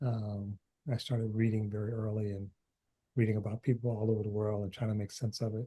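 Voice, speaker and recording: A man with an American accent speaks at a moderate pace in a medium pitch, his dark, mellow tone somewhat breathy. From US Midwest, Detroit. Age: 60s. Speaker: author. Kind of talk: interview. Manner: halting, many fillers.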